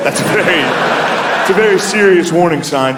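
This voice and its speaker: A man talks with lively intonation while noticeable background noise continues. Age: 30s. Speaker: stand-up comedian. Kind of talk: stand-up comedy set.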